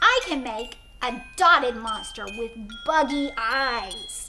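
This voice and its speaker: Over clear background noise, a woman uses a high-pitched put-on character voice at a fairly slow pace. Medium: read story. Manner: clucking, boastful.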